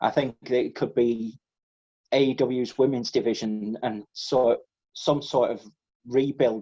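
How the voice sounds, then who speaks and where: This man has an English accent and a medium pitch. His tone is dark and mellow. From England. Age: 20s. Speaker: podcast co-host. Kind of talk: casual chat.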